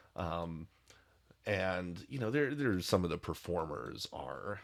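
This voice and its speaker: Putting on a character voice, a man speaks at a fairly slow pace in a raspy, very deep, low voice. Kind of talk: tabletop narration. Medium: actual play. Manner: casual, hesitant, filler-heavy.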